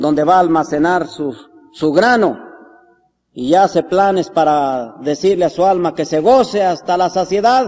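A fairly high male voice in a solemn tone, fairly slow, with ordinary pitch variation and music in the background. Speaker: preacher. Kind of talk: sermon. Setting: church. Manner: earnest, solemn pastoral delivery, unhurried and reverent; rising, warm exhortation building to a closing benediction.

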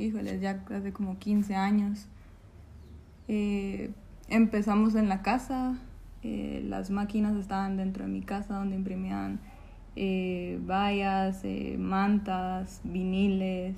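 A woman at a very slow pace, with long, frequent pauses. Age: 20s. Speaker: call center worker. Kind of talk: interview.

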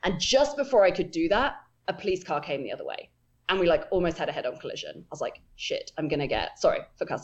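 A woman speaks with an English accent. Her pace is very fast. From England. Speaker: telescope operator, astronomer. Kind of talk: casual interview. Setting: video call.

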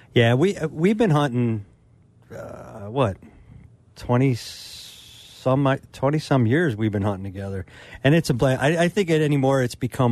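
A man with an ordinary speaking voice, fairly slow in pace, with lively intonation. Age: 50s. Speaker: hunting pro staffer, co-host. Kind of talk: casual radio chat. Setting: radio studio.

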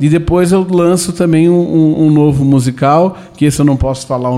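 A man speaks at a fairly high pitch with a dark, mellow tone. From Brazil, southern Minas Gerais (Itajubá). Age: 30s. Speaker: theatre actor and producer. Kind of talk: radio interview.

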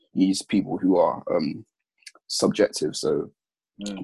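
A man with a London accent, recorded with a dry, close sound and no echo. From south-east London. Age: 20s. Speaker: hospital admin assistant. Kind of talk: casual chat.

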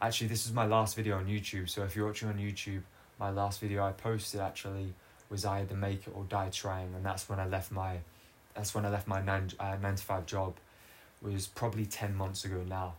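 A man's fairly low, somewhat breathy voice at a fairly quick pace, monotone and flat in intonation. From Australia. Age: 20s. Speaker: footballer and podcaster. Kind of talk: solo personal monologue. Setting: filmed solo recording. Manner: unscripted, hesitant with fillers.

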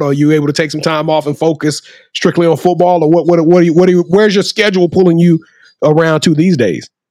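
Animated in tone, a man speaks at a very fast pace. His pitch is high. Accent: Southern US. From Louisiana. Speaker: podcast host. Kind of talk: casual chat.

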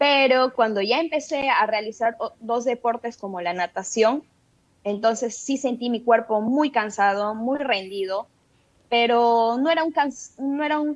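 The pace runs fairly slow. It is a plain, everyday voice, with ordinary pitch variation. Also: woman. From Peru, Tarapoto (San Martín, Amazon region). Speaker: cyclist and swimmer. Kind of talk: radio interview. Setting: video call.

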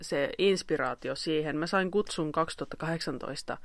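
A woman speaks at a very slow pace. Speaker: singer-songwriter and violinist. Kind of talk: casual chat. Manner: animated.

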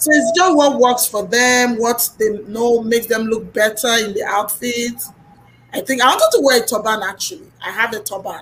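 A woman with ordinary pitch variation against noticeable background noise. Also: fairly high pitch for a woman, moderate pace. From Nigeria. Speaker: youtuber and podcaster. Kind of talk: casual chat.

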